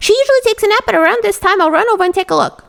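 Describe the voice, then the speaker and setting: A woman puts on a squeaky character voice at an extremely high pitch. She speaks at a very fast pace. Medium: read story. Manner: quick.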